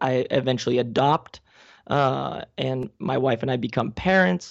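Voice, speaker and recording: A man talks with vocal fry running through his voice. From Spain (Alicante). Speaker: gymnastics coach and entrepreneur. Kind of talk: casual interview.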